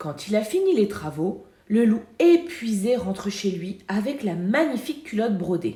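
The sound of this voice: The clip has an unforced reading voice.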